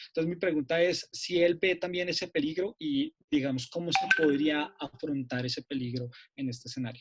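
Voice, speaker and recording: The recording is dry and close, with no echo. A man talks at a fairly quick pace. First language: Spanish. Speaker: seminar participant. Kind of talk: academic Q&A question. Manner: halting.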